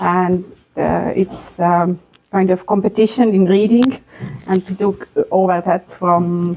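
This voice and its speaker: A woman with an Estonian accent speaks at a very slow pace in a flat, monotone delivery. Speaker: school vice-principal. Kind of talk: interview. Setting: school library. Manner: halting, many hesitations.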